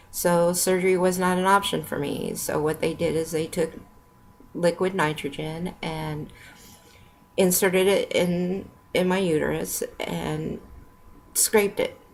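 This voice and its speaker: A woman at a fairly slow pace with long, frequent pauses, amid noticeable background noise. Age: 50s. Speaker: product user giving health testimony. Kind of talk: testimony. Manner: slurred speech; halting.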